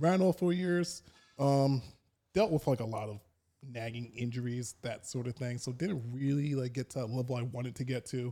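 At a moderate pace, a man with a plain, everyday voice and an American accent speaks with ordinary pitch variation. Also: medium pitch for a man. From New York, Long Island. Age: 30s. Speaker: powerlifter. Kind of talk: casual chat.

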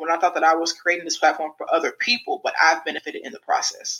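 A woman with a plain, everyday voice speaks at a fairly low pitch in an American accent. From US Midwest, St. Louis, Missouri. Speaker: former college basketball player and coach, podcast host. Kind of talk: interview.

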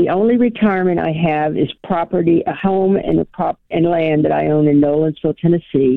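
In a plain, everyday voice, a woman speaks at a fairly quick pace and fairly low pitch, with hardly any pauses, very even loudness and ordinary pitch variation. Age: 60s. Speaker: caller. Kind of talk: call-in advice question.

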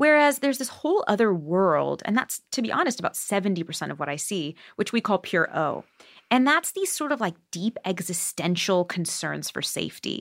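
A woman's medium-pitched voice with vocal fry swings very widely in pitch at a moderate pace, recorded dry and close with no echo in a very clean take against a silent background. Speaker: psychotherapist specializing in anxiety and OCD. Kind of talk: casual interview.

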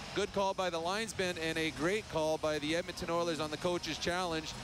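Male speech at a moderate pace amid noticeable background noise. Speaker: radio color analyst. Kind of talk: live sports color commentary, casual banter. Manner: conversational, reactive, a bit wry.

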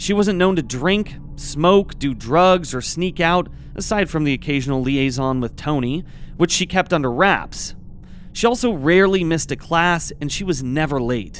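A man's fairly high, plain, everyday voice at a moderate pace, with lively intonation. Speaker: true crime podcast co-host. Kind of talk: true-crime narration, telling the case facts then casual commentary.

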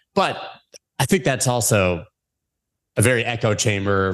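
A man with an American accent in a normal speaking voice, fairly low-pitched, at a moderate pace, with ordinary pitch variation and a quiet background. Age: 40s. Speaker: crypto podcast host. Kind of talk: interview.

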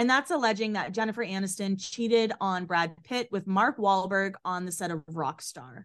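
A woman with an American accent speaks at a moderate pace in an ordinary speaking voice, with lively intonation over a quiet background. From Boston area, Massachusetts. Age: 30s. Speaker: podcast co-host. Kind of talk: reading aloud; casual chat.

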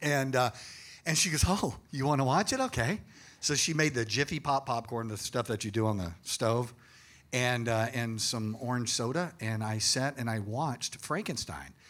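A man in a normal speaking voice, medium pitch, ordinary pitch variation and a moderate pace, in a very clean recording with a silent background. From Austin, Texas. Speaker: retired police officer and paranormal investigator. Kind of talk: live panel discussion. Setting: stage with audience.

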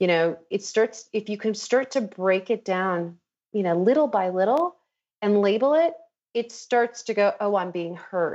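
With an American accent, a woman speaks in a normal speaking voice at medium pitch, using lively intonation and a fairly slow pace. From Chicago. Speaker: life coach. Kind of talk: casual interview chat.

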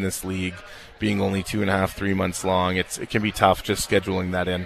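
Over background music, a man speaks with fairly even intonation at a fairly low pitch. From Canada, Winnipeg. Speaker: professional basketball player. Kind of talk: interview. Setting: live event venue.

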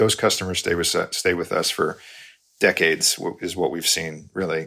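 A man with an American accent speaks in a very deep, low pitch with a bright, sharp tone. His delivery is monotone and flat, captured on a very clean recording against a silent background. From New York. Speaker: company CEO. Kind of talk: interview.

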